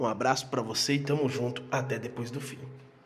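A man talks at a very fast pace. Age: 30s. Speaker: podcast host, former missionary. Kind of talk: casual solo podcast introduction. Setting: recording alone.

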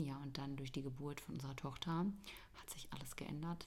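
Audible room echo surrounds a woman with a very deep, low pitch. She speaks very fast with fairly even intonation. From Bavaria, Germany. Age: 20s. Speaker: podcast co-host, mother. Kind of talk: casual chat.

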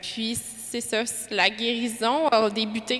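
A woman with a Quebec accent speaks at a fairly high pitch in a bright, sharp tone. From Quebec (Lévis). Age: 20s. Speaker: parishioner giving testimony. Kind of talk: testimony.

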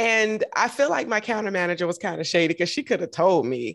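A woman of medium pitch speaks at a fairly quick pace with vocal fry, recorded very cleanly with a silent background. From US South, Augusta, Georgia. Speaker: podcast host, model and triathlete. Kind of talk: casual interview chat.

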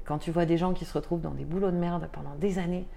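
A woman's fairly low voice with vocal fry, a dark, mellow tone, and audible room echo. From France, Tarn. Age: 30s. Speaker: association founder. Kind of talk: interview. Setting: at her home. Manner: halting, many fillers.

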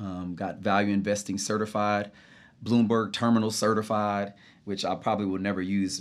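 In a very clean recording with a silent background, a man with a plain, everyday voice and an American accent speaks at a moderate pace and a fairly low pitch. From Texas, Dallas area. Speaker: personal trainer. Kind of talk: casual interview. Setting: studio.

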